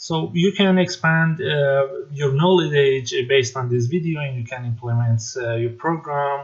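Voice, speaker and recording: Somewhat breathy, the voice moves at a fairly slow pace with a non-native accent. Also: man. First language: not English. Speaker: tech tutorial maker. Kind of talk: tutorial. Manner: halting, many fillers.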